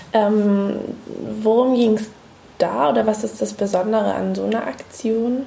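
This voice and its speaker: A woman talks fairly slowly, pausing long and often. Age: 30s. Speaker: museum researcher and podcast host. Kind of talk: casual chat.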